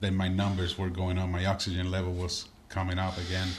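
A man with a Spanish accent speaks at a moderate pace in a very deep, low, somewhat breathy voice. Audible room echo surrounds him. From Puerto Rico. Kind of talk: casual interview chat.

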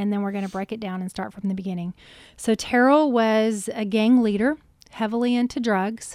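A woman's fairly high voice with a Southern US accent, fairly quick pace and fairly even intonation. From Alabama, US South. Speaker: podcast host and journalist. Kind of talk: casual interview.

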